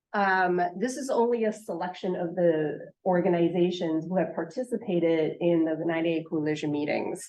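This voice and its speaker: Woman, fairly low pitch, ordinary pitch variation, moderate pace, hardly any pauses, audible room echo. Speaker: state health official presenting. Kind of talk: conference presentation. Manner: hesitant with many fillers.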